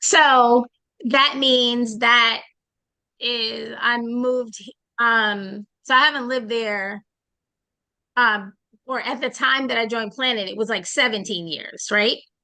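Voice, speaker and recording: In an American accent, a woman speaks very slowly at fairly high pitch with a bright, sharp tone, fairly even intonation, big swings in loudness and long, frequent pauses. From Boston. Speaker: network marketing trainer. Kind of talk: online training session.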